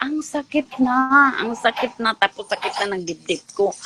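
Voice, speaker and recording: Recorded dry and close with no echo, a woman with a Visayan accent speaks in an animated tone with very wide pitch swings over noticeable background noise. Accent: Visayan-accented Tagalog. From Mindanao, Philippines. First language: Cebuano (speaking Tagalog). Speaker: ex-church member. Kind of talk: testimony.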